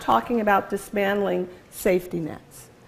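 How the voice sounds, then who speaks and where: Against crowd noise in the background, a woman with an American accent speaks at a moderate pace. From US, Philadelphia. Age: 60s. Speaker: guest lecturer, advocacy organization executive. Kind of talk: lecture. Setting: lecture hall with audience and microphone.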